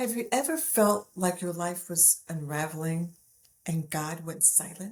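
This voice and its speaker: A somewhat breathy woman's voice, fairly low in pitch, with ordinary pitch variation and a fairly slow pace. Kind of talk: faith-based teaching message to camera.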